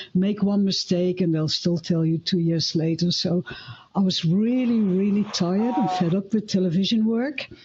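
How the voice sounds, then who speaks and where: Against noticeable background noise, a woman with a Dutch accent speaks at a moderate pace and medium pitch, with ordinary pitch variation and very even loudness. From Netherlands. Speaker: filmmaker and former TV camera operator. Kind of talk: live panel discussion.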